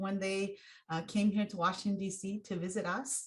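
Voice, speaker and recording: Over a quiet background, a woman speaks at medium pitch in a somewhat breathy voice. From Hmong refugee from Laos/Thailand, raised in US. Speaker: racial equity consultant. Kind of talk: plenary talk. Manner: halting with many fillers.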